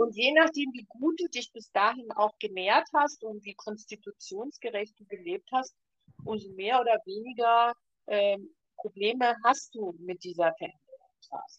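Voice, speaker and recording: A normal speaking voice at a fairly slow pace, lively intonation and big swings in loudness, dry and close with no echo. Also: woman, fairly high pitch for a woman. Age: 60s. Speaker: ayurveda expert and podcast co-host. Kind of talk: casual chat.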